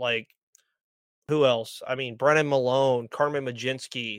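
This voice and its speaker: With an American accent and a normal speaking voice, a man speaks at a moderate pace and medium pitch with fairly even intonation, recorded very cleanly against a silent background with a dry, close sound with no echo. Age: 20s. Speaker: sports podcaster. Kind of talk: casual chat.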